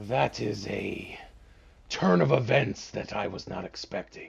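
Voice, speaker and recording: A man's raspy put-on character voice, fairly slow, with lively intonation and big swings in loudness. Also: fairly low pitch for a man. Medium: actual play. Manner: arrogant, amused.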